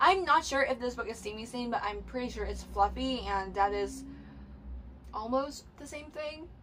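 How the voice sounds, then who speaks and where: Here a woman is speaking. Her voice has a fairly high pitch. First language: Cantonese. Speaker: book youtuber. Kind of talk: casual vlog talk to camera. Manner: halting, many fillers.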